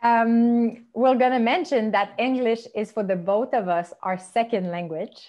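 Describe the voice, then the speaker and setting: With a Quebec accent, a woman speaks at a fairly high pitch with ordinary variation. She hardly pauses at all. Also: fairly slow pace. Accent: French Canadian accent in English. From Quebec, Montreal. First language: French. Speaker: podcast host. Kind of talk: interview conversation.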